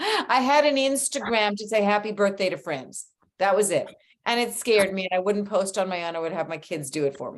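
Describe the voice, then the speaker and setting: Here is a woman with an unremarkable speaking voice at a medium pitch. She talks fairly quickly with lively intonation. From Canada. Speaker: clothing and accessory designer. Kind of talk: interview.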